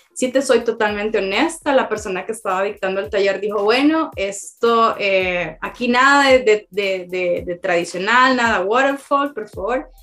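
A woman at a fairly high pitch with ordinary pitch variation and hardly any pauses, over noticeable background noise. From Honduras, Tegucigalpa. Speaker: agile consultant. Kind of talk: interview.

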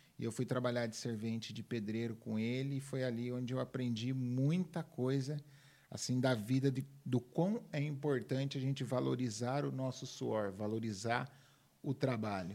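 This is a man with a medium pitch. His tone is dark and mellow. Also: ordinary pitch variation, moderate pace. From Minas Gerais, Brazil; raised in São Paulo state from age 10. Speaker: personal development speaker. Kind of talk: interview conversation.

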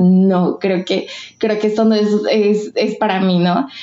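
A woman speaks in a normal speaking voice at a medium pitch, with ordinary pitch variation. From Mexico, Michoacán. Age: 20s. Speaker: literature graduate writing thesis. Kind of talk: personal testimony in casual interview.

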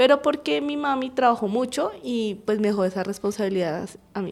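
A woman with a fairly high pitch talks at a moderate pace in an ordinary speaking voice, recorded very cleanly over a silent background. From Colombia, Bogotá. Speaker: university program coordinator in early childhood education. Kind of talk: radio interview.

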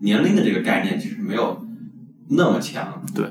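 Noticeable background noise and audible room echo surround a man's voice. His pitch swings very widely. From Yunnan, China. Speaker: podcast co-host, PhD student. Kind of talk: casual chat.

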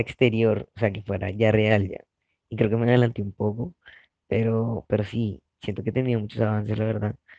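A man speaks at a moderate pace in a fairly low pitch with a dark, mellow tone. His intonation is monotone and flat, and the sound is dry and close with no echo. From Colombia, Barranquilla (Caribbean coast). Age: 20s. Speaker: activist, collective founder. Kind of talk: personal testimony.

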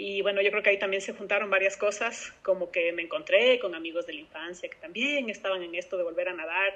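Talking at a very fast pace with hardly any pauses, a woman holds a medium pitch with ordinary pitch variation. Her loudness swings widely. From Ecuador. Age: 30s. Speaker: open-water swimmer. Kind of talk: interview. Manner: halting.

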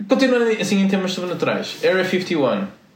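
A man's high voice at a moderate pace with lively intonation, amid noticeable background noise and audible room echo. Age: 20s. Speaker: podcast co-host. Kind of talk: casual chat.

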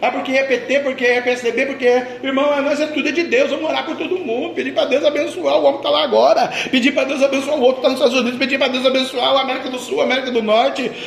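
A man with a Brazilian accent speaks at an extremely high pitch and a very fast pace, his tone animated. Noticeable background noise can be heard. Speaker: pastor. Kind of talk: sermon. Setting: church. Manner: animated, fervent preacher in full flow, repeating phrases.

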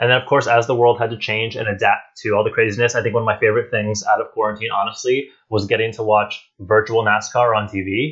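A man rattles along at a very fast pace with hardly any pauses, in a monotone, flat intonation. The background is quiet. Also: medium pitch for a man. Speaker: theme park podcast host. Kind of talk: casual chat. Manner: loud.

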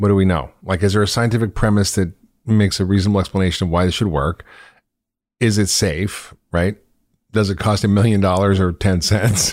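A man with an unremarkable speaking voice and an American accent, fairly low in pitch, at a fairly quick pace with fairly even intonation and very even loudness, in a very clean recording with a silent background. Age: 50s. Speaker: podcast host and physician. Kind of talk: interview.

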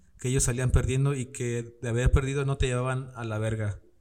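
Speaking in an unremarkable speaking voice, a man keeps a medium pitch and fairly even intonation. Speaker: podcast host. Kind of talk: casual chat. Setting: studio with camera. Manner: casual, laughing often.

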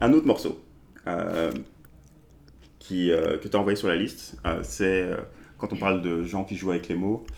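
Speaking with a very deep, low pitch and vocal fry, a man moves at a fairly slow pace with ordinary pitch variation and long, frequent pauses. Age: 30s. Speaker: podcast host. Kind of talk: interview.

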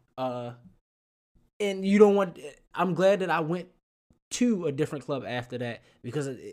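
Lively intonation at a moderate pace, with big swings in loudness and long, frequent pauses, in a very clean recording against a silent background. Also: man. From Baltimore. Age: 20s. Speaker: podcast host, bartender. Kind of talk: casual chat.

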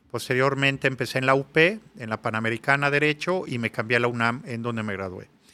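This man talks very fast with hardly any pauses. His medium-pitched voice has a bright, sharp tone. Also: ordinary pitch variation. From Mexico City. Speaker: public security consultant. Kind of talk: interview. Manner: halting, many repetitions.

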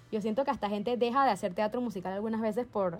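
A woman's fairly high, animated voice at a very fast pace, ordinary pitch variation, music in the background. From Panama. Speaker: podcast co-host and musical theatre performer. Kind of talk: casual chat.

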